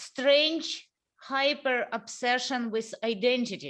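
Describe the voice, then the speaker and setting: A woman's high voice in a Russian accent at a very slow pace, on a very clean recording with a silent background. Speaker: interview host. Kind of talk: casual interview conversation. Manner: halting.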